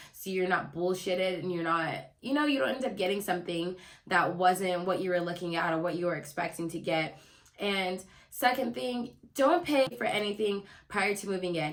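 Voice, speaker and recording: A woman's medium-pitched voice, animated in tone and lively in intonation, over noticeable background noise. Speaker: lifestyle YouTuber. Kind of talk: casual vlog tips. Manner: fast.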